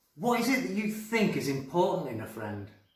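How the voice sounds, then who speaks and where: Audible room echo surrounds a man whose pitch swings very widely. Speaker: primary school teacher. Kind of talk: storytelling; school assembly talk. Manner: animated; whispering.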